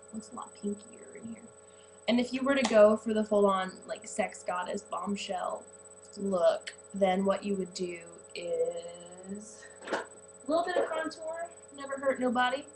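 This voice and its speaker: A woman with an American accent speaks at a fairly high pitch, her loudness swinging widely. Noticeable background noise sits behind her. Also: fairly slow pace. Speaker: beauty vlogger. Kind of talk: tutorial. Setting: home bathroom. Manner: hesitant, says um a lot; casual.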